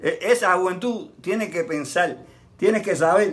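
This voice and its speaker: The man's voice is high. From Cuba. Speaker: santero. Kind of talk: interview. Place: garden. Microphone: camera far.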